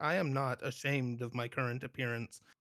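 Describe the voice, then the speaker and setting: A man puts on a character voice at a medium pitch. He delivers it at a fairly quick pace. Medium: actual play. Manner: flat, formal, detached.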